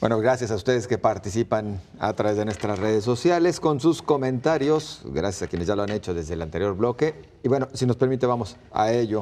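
Lively intonation marks a man's speech. His pace is fairly quick. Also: hardly any pauses. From Mexico. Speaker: TV show moderator. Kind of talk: moderating a debate. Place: studio. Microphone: lapel.

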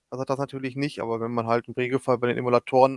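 A man at a very fast pace in a dry, close sound with no echo. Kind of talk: casual chat.

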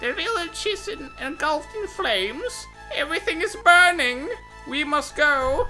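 A female-sounding put-on character voice speaks at a moderate pace with an extremely high pitch for a woman. Clear music plays in the background. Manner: urgent, dramatic.

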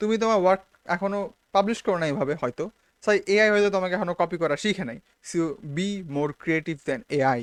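A man with a high pitch, heard in a dry, close sound with no echo. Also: ordinary pitch variation. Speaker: YouTuber. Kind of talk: casual vlog monologue. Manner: casual, mixes English words.

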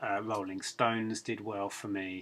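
A man speaks at a fairly slow pace with a fairly low pitch. His tone is fairly bright and his intonation fairly even.

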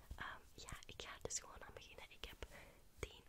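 A woman whispering, soft-spoken. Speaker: ASMR creator. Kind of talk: whispered ASMR chat. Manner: soft close-mic ASMR whisper. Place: home room. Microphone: studio mic.

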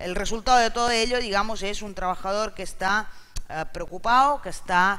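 A man speaks in a raised, projected voice with a bright, sharp tone. His pitch is high and his intonation fairly even. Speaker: interpreter. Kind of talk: live interpreting summary. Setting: stage with audience. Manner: halting. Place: hall. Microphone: headset.

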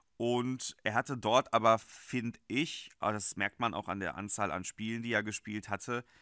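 On a very clean recording with a silent background and a dry, close sound with no echo, a man with a fairly low pitch and a bright, sharp tone speaks at a moderate pace with fairly even intonation. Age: 20s. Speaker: football fan channel host. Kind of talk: solo video commentary on a football transfer.

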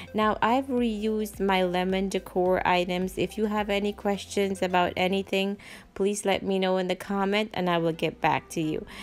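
Over music in the background, the voice moves at a moderate pace in a monotone, flat intonation. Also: woman, very even loudness. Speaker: home decor channel host. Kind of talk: casual vlog chat.

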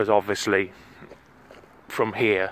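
A man speaks in a dry sound with no echo. Light background noise can be heard. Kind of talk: casual vlog chat. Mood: wistful, regretful. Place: open country. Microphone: phone near.

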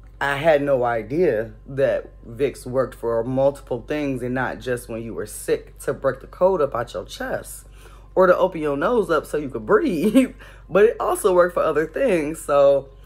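Faint music plays in the background as a woman speaks at a moderate pace with big swings in loudness. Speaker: vlogger. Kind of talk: casual vlog chat. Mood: amused, chatty. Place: home room. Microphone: phone near.

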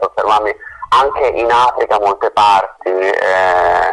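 A man speaks at a fairly low pitch with vocal fry. His tone is fairly bright.

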